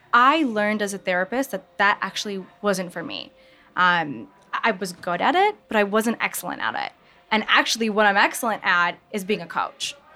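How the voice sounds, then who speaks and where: A woman with a medium pitch, ordinary pitch variation and a moderate pace, amid noticeable background noise. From US Midwest, Michigan. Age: 20s. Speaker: author and mental health coach. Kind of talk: interview. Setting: live audience at market venue.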